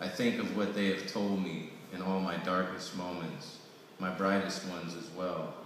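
A man's very deep, low, monotone voice at a fairly slow pace, with strong room echo and light background noise. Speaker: poet reading own work. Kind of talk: poetry reading. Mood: solemn, reflective. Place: hall. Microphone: camera far.

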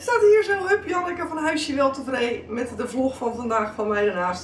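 Against light background noise and audible room echo, a woman speaks at a fairly quick pace. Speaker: daily vlogger. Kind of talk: casual vlog chat. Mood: amused, animated. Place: kitchen. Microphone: camera far.

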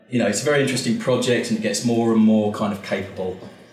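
A man talking at a very fast pace with ordinary pitch variation, amid audible room echo. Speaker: presenter. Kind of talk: casual talk to an audience. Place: hall.

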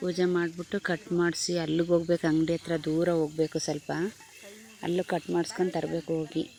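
Her loudness very even, a woman speaks in a flat monotone with a fairly low pitch and a dark, mellow tone. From Hassan, Karnataka. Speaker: village vlogger. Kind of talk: casual vlog narration.

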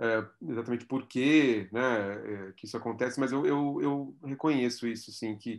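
Against a quiet background, a man speaks at a fairly slow pace with a medium pitch and fairly even intonation. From Brazil, São Paulo. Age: 40s. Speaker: art curator and philosophy professor; philosophy professor. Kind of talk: interview. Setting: video call. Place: home room. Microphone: video call.

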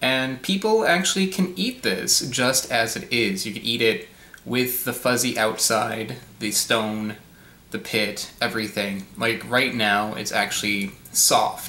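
There is audible echo in the room. The man's intonation is lively. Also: fairly slow pace. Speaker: YouTube fruit reviewer. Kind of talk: casual video review. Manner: casual with many filler words. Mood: thoughtful, calm. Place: home room. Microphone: webcam.

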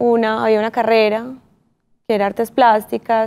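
This woman talks at a moderate pace in an Antioquian accent. Her pitch is fairly high. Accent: Colombian paisa (Antioquia) Spanish. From Colombia, Medellín. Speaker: visual artist and former model. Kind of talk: interview. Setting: studio. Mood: calm, reflective. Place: studio. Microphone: lapel.

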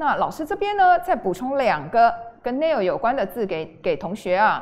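A woman at a moderate pace, her pitch swinging very widely. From Taiwan. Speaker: junior high English teacher. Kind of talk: online lecture. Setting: livestream. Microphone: studio mic.

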